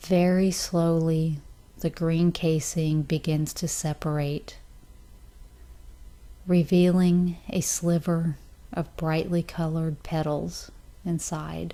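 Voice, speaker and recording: A woman's dark, mellow voice at a very slow pace, monotone and flat, with long, frequent pauses on a very clean recording with a silent background. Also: fairly low pitch for a woman. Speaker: meditation guide. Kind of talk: guided meditation. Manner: slow, soft-spoken.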